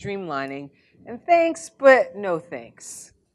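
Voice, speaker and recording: A woman is speaking. Her pace is very slow. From Canada, Montreal. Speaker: former Olympic hurdler and journalist; journalist guest. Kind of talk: casual chat. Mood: warm, animated storytelling. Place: hall. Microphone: lapel.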